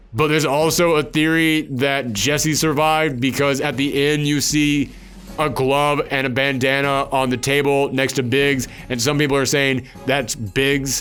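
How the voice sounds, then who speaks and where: Against noticeable background noise, a man with a fairly high pitch speaks at a fairly slow pace, his monotone, flat intonation matched by very even loudness. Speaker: gaming video host. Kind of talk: solo spoiler discussion. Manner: slurring when tired.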